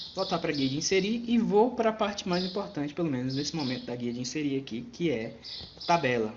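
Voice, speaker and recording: Over noticeable background noise, a man talks fairly fast at a fairly high pitch with very wide pitch swings. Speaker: computer teacher. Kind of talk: tutorial.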